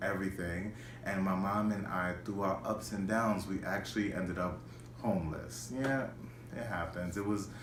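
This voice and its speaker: With an American accent, a man speaks in a fairly low voice with ordinary pitch variation, amid noticeable background noise and audible room echo. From New York City, the Bronx. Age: 20s. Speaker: schoolteacher. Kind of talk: personal video monologue. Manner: halting, many repetitions and fillers.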